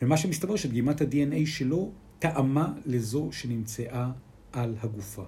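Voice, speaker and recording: Speaking at a very slow pace, a man with a Spanish accent has a dark, mellow tone and a medium pitch, somewhat breathy. His intonation is lively, and there is audible room echo. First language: Spanish (speaking Hebrew). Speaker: podcast co-host. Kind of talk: casual chat.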